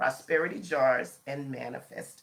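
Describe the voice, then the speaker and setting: A woman is talking. Her voice is fairly low. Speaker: astrology and manifestation teacher. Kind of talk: live stream talk. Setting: facebook and instagram live. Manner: casual, chatty.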